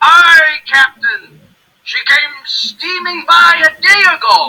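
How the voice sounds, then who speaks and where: A put-on character voice pitched extremely high, delivered at a very slow pace. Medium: read story.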